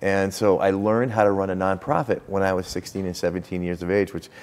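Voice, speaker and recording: Speech comes at a very fast pace in an American accent, with fairly even intonation. Noticeable background noise can be heard. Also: man. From US Northeast, western Massachusetts. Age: 60s. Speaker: lawyer and district attorney candidate. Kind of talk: interview. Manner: halting, many fillers.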